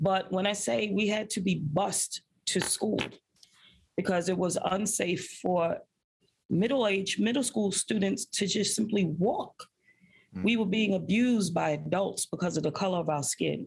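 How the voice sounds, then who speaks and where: A woman with an American accent, medium pitch and ordinary pitch variation, somewhat breathy, at a moderate pace with very even loudness. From Brooklyn, New York. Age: 40s. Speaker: high school principal. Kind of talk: interview. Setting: in her school's food pantry.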